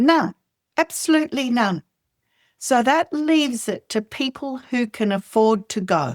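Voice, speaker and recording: With an Australian accent, a woman speaks in a high pitch with lively intonation, recorded very cleanly against a silent background in a dry, close sound with no echo. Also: fairly slow pace. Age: 60s. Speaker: oral health educator. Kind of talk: interview.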